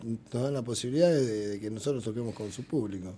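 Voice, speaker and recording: Here a man talks at a moderate pace in a dark, mellow tone. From Argentina, Buenos Aires southern suburbs. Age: 50s. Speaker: rock musician. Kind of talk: casual interview.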